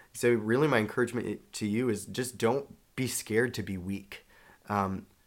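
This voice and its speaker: A man with an American accent and a plain, everyday voice speaks with fairly even intonation on a very clean recording with a silent background. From Charlotte, North Carolina. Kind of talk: casual chat.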